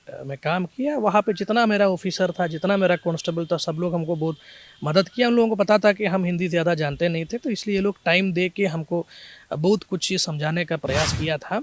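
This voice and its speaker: In a Malayali accent, a man speaks at a moderate pace with a high pitch and ordinary pitch variation, the sound dry and close with no echo. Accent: Malayali-accented Hindi. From Kerala, India. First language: Malayalam (speaking Hindi). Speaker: police officer. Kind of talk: interview. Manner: halting, with fillers.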